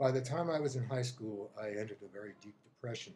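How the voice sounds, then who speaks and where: The man's voice is somewhat breathy. His tone is dark and mellow. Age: 70s. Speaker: psychotherapist. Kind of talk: testimony.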